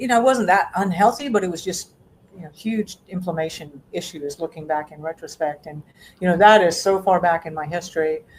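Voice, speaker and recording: Over noticeable background noise, a woman with a fairly low voice talks fairly quickly, with ordinary pitch variation and big swings in loudness. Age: 60s. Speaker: self-sufficiency educator and homesteader. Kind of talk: interview. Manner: halting; animated.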